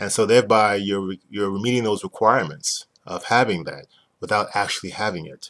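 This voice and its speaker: Against a quiet background, a man talks at a fairly quick pace with a New York accent. His pitch is fairly low. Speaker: business owner explaining a used car dealer licensing program. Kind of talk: explanatory sales talk. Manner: fast talker. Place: home room. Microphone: webcam.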